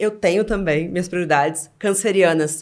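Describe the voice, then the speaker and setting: A woman with an unremarkable speaking voice talks at a fairly quick pace with lively intonation on a very clean recording with a silent background. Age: 30s. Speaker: content platform founder. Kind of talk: casual chat.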